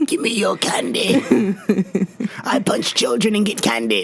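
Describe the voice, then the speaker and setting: At a moderate pace, a put-on character voice speaks over clear background noise. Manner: gruff, grumpy.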